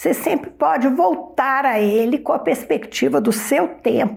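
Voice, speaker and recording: Her pitch leaps across a very wide range as this woman talks at a fairly slow speed. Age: 70s. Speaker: retired philosophy professor. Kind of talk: interview.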